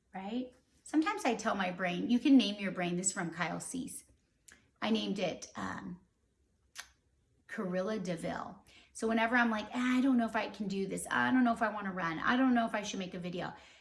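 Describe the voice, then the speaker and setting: Animated and fairly quick, a woman speaks at medium pitch with ordinary pitch variation and vocal fry. Her speech has long, frequent pauses. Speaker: vlogger. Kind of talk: casual chat.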